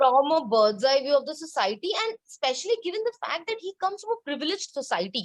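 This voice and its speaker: Speaking with a Bengali accent, a woman with a high pitch talks at a very fast pace with hardly any pauses and very wide pitch swings, in a dry, close sound with no echo. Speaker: book blogger. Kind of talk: casual chat.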